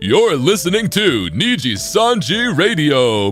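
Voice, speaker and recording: A man's put-on character voice, fairly high in pitch with very wide pitch swings, over clear background music. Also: fairly slow pace. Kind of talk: radio announcer delivery. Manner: upbeat, whimsical.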